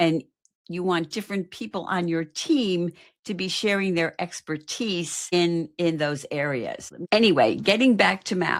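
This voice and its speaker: In a very clean recording with a silent background, a woman with an unremarkable speaking voice talks at a fairly slow pace, her fairly low pitch showing ordinary pitch variation. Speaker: marketing coach. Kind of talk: live stream talk.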